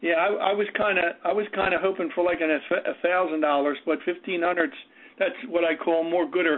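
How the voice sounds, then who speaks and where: The speaker has an American accent and keeps a moderate pace. Noticeable background noise runs underneath. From New Jersey. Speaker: real estate investor. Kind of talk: phone Q&A call. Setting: phone call.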